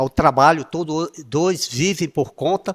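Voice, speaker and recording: The sound is dry and close, with no echo, as a man talks in a normal speaking voice. His pitch sits fairly high and varies in an ordinary way. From Brazil, Piauí (Nordeste). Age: 60s. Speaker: former city councillor, interview guest. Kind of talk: interview.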